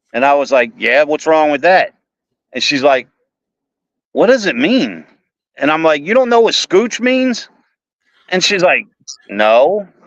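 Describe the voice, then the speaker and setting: In a Baltimore accent, a man talks at a fairly high pitch with very wide pitch swings. His pace is fairly slow, broken by long, frequent pauses. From Baltimore, Maryland, US. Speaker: author. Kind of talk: casual chat.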